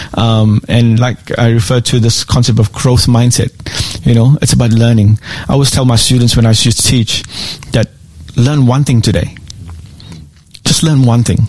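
Very even loudness and fairly even intonation at a moderate pace, with long, frequent pauses and noticeable background noise. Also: man, medium pitch for a man. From South Africa. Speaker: school principal. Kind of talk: casual interview chat.

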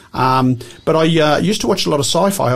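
This man talks at a fairly quick clip. There is a somewhat breathy quality to his voice. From England. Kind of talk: radio interview. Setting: radio studio.

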